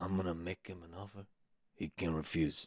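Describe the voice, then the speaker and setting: A man's put-on character voice, very deep and low, raspy and flat in tone, at a fairly quick pace with a dry, close sound and no echo. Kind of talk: comic.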